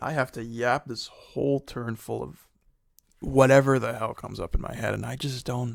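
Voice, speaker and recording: On a very clean recording with a silent background, a man speaks in an animated tone at a moderate pace. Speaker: gaming content creator. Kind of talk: live gameplay commentary.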